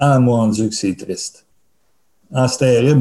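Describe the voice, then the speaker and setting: A man with a Quebec accent speaks at a fairly slow pace and medium pitch, with ordinary pitch variation. His voice is somewhat breathy, with a dark, mellow tone. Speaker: festival producer. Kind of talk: interview.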